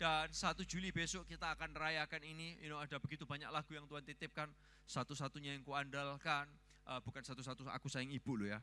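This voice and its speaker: A man's bright, sharp tone in an East Javanese accent. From Surabaya, East Java, Indonesia. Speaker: pastor. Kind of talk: sermon. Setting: church. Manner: animated.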